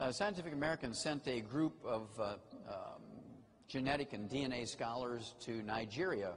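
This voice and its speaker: Over noticeable background noise, a man speaks at a medium pitch and a moderate pace with lively intonation. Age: 70s. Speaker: health lecturer. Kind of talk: lecture. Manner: animated.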